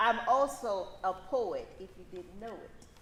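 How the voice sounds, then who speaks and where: A woman talks at a high pitch and a fairly slow pace. Audible room echo surrounds her voice. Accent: Louisiana. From US South, northern Louisiana (Shreveport). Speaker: law professor. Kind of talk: conference talk. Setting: in person event with audience.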